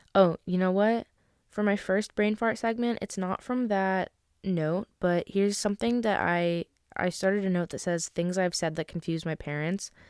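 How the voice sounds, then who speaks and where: A woman with an American accent speaks at a moderate pace in an animated tone, her medium pitch showing ordinary variation, on a very clean recording with a silent background and a dry, close sound with no echo. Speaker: podcaster. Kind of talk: casual monologue. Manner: rambling, animated.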